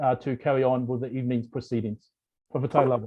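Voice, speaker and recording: This man's pitch sits in the medium range. He keeps up a fairly quick pace. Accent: New Zealand. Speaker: board member of a human rights organisation. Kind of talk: formal welcome speech. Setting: video call.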